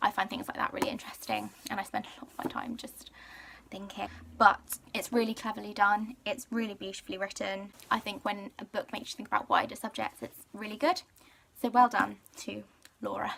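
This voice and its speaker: In a British accent, a woman speaks at a fairly quick pace. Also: fairly high pitch for a woman, ordinary pitch variation, big swings in loudness. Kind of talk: casual talk to camera. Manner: chatty, rambling.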